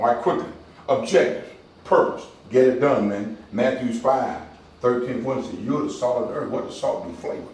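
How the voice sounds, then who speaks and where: Over noticeable background noise and audible room echo, a man speaks at a fairly quick pace in an animated tone, with big swings in loudness. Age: 60s. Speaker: community outreach director. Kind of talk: motivational talk to a men's group. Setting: barber shop meeting with small audience. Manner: animated, preacher-like call and response.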